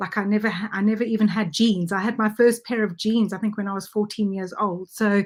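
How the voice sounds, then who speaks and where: The recording is very clean, with a silent background. A woman with a somewhat breathy voice talks at a fairly quick pace with fairly even intonation. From South Africa. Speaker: network marketer, former dentist. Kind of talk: interview.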